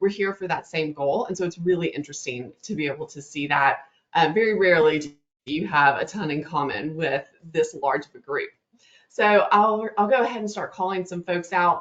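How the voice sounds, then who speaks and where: A woman with a Southern US accent speaks in an upbeat tone at a fairly low pitch with ordinary pitch variation. Her loudness swings widely. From US South, North Louisiana. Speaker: webinar host, marketing presenter. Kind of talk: live webinar presentation. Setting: online webinar. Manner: fast; upbeat, friendly.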